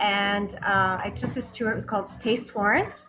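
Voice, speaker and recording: A woman speaks with a Canadian accent and ordinary pitch variation. Audible room echo and noticeable background noise surround her voice. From Canada, Toronto. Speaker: food tour business owner. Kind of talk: interview. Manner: hesitant, many fillers.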